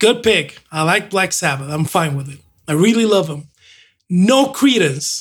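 Fairly slow and high-pitched for a man, his voice swings very widely in pitch. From Mexico. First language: Spanish. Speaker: host's husband, co-presenter. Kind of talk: casual chat.

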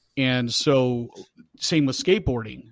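An unremarkable speaking voice on a very clean recording with a silent background. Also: man. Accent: American. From hometown in the US. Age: 40s. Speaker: police officer. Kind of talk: casual chat.

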